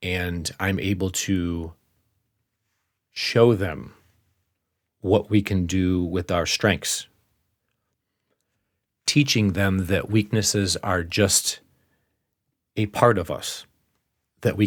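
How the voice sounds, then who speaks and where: Over a very clean recording with a silent background, a man with a very deep, low pitch speaks at a very slow pace with long, frequent pauses and fairly even intonation. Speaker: podcast host, life mentor. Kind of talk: podcast monologue.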